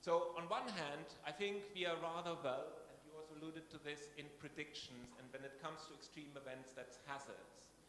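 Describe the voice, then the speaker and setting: Over noticeable background noise, a man with a German accent talks at a moderate pace and fairly high pitch, with ordinary pitch variation and hardly any pauses. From Germany. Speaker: scientist at a research institution. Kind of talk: conference talk.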